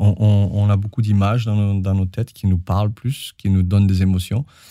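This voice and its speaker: A man speaks at a fairly low pitch with a dark, mellow tone. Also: very clean recording, silent background. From southern France, Perpignan. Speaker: choreographer and dancer. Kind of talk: interview.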